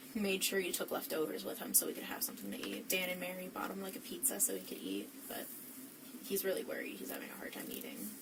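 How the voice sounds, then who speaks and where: A woman with an American accent speaks at a very fast pace, with audible room echo and noticeable background noise. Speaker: witness (suspect's girlfriend). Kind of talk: police interview. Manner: frequent 'like' fillers.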